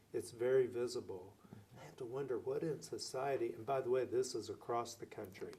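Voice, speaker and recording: A man talks at a moderate pace in an American accent. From Oklahoma (Lawton). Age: 60s. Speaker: city mayor. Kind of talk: interview.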